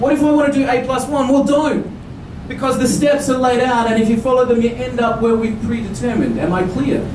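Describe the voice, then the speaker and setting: An animated voice in an Australian accent at a fairly quick pace, very even in loudness, with audible room echo and noticeable background noise. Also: man, extremely high pitch for a man. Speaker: business speaker. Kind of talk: conference presentation. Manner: fast.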